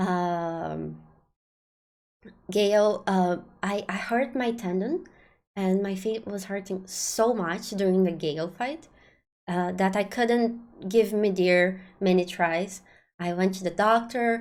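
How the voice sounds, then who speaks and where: A woman with a non-native accent speaks at a very slow pace and medium pitch, with fairly even intonation and long, frequent pauses. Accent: non-native accent, remarked by self. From Brazil. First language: Portuguese. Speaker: game streamer. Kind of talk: live stream talk to chat. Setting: live stream. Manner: hesitant, many fillers.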